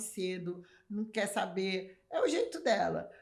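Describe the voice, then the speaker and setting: A woman speaks. Her tone is animated. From Brazil (São Paulo, Rio family). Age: 60s. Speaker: magazine editor and artist. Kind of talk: casual interview chat.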